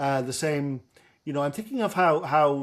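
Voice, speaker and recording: In a Dublin accent, a man talks at a fairly quick pace. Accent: Dublin Irish. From Ireland, Dublin. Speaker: professor. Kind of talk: lecture. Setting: video call.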